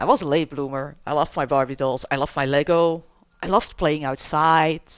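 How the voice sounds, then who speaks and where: The speaker has a Flemish accent. The pace is fairly quick. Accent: Belgian (Flemish) accent in English. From Belgium. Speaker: gaming streamer. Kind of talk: gameplay commentary with reading aloud. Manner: casual, chatty.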